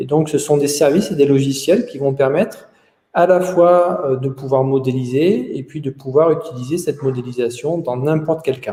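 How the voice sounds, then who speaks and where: Somewhat breathy, a man talks at a moderate pace. His pitch is fairly high and his tone is dark and mellow. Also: ordinary pitch variation. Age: 40s. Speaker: company founder. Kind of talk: interview. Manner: hesitant, frequent 'euh' fillers.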